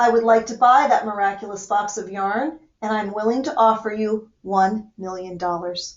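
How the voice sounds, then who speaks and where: A woman performs a put-on character voice. Her loudness swings widely. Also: fairly high pitch for a woman, moderate pace. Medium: read story. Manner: imperious.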